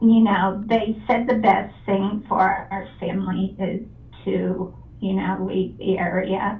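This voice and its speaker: Talking at a very slow pace, a woman with a medium pitch keeps a fairly even intonation over noticeable background noise and audible room echo. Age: 60s. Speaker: home seller. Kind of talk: phone conversation. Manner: halting.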